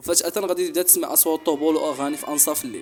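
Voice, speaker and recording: Music plays in the background as the speaker races along at a very fast pace with very wide pitch swings. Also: man. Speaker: storyteller. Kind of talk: horror story narration.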